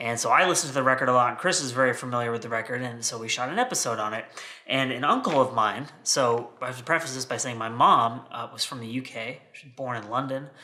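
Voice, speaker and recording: This man, with an American accent, talks at a very fast pace with hardly any pauses, in a bright, sharp tone at medium pitch and with fairly even intonation. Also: big swings in loudness. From United States. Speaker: vinyl collector video host. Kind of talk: casual unboxing chat. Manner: rambling, conversational.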